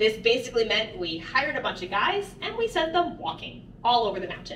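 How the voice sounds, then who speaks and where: There is audible room echo and light background noise as a woman talks at a fairly quick pace. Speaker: mine tour guide. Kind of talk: guided tour talk. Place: tunnel cave.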